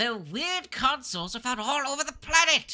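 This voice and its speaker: A man's put-on character voice at a moderate pace. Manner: doubles up words.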